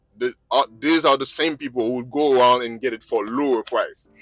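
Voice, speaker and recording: Over music in the background, a man of medium pitch talks at a fairly quick pace with fairly even intonation, the sound dry and close with no echo. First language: not English. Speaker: truck driver and video blogger. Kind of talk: vlog monologue. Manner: agitated; halting.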